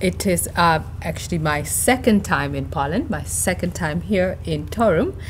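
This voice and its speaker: A woman speaks with a Namibian accent at a moderate pace. There is noticeable background noise. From northern Namibia. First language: Oshivambo. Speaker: university professor. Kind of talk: interview.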